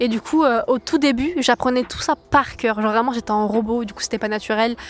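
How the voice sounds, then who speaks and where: A woman talks at a fairly quick pace. Her pitch is fairly high, with ordinary variation. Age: 20s. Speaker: singer. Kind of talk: testimony. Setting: outdoors in a park. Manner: fast; hesitant, many fillers.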